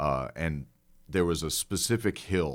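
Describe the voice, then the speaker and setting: A man's very deep, low voice with an American accent and ordinary pitch variation, on a very clean recording with a silent background. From Elmhurst, Illinois, Chicago suburbs. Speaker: comedian and podcast host. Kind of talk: storytelling in casual chat.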